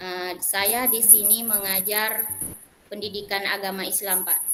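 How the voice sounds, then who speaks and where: Speaking at a moderate pace, a woman with a Malay accent has a bright, sharp tone and fairly even intonation. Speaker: Islamic religion teacher. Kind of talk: self-introduction in online class.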